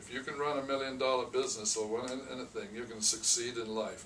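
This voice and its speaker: A man talks at a medium pitch and a moderate pace. Audible room echo and noticeable background noise fill the recording. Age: 70s. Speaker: restaurant franchise owner. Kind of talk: interview. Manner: halting, repeats words.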